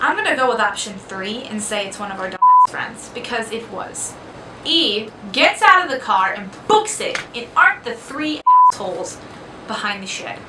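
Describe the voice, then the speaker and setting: A woman speaks at a moderate pace and a fairly high pitch, with lively intonation and big swings in loudness. Noticeable background noise is present. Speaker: vlogger. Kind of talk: casual storytelling. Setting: dorm room. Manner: soft-spoken.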